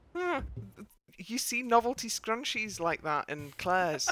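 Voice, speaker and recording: Bright and sharp in tone, a woman's fairly high voice moves at a fairly slow pace through very wide pitch swings. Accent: northern English. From northern England. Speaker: podcast co-host discussing TV dance show. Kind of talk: casual chat.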